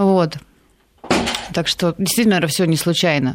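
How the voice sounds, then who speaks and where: A woman is speaking here. Her pitch varies in an ordinary way. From Yaroslavl, Russia. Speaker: motorcycle racer and amateur pilot. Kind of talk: casual chat. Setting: studio.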